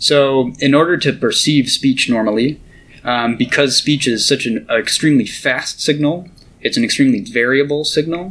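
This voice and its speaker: A man with an ordinary speaking voice talks at a moderate pace and fairly high pitch, with ordinary pitch variation. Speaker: neuroscientist and grad student. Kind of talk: interview about research, casual explanation.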